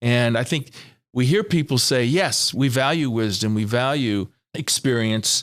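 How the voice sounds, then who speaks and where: In a normal speaking voice, a man of medium pitch speaks at a fairly slow pace with ordinary pitch variation and very even loudness over a quiet background. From California. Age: 60s. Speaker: financial planning mentor. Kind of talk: interview.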